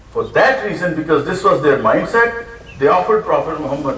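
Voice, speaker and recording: Over noticeable background noise and audible room echo, a man's speech runs at a fairly quick pace. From Pakistan. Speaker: preacher. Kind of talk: sermon.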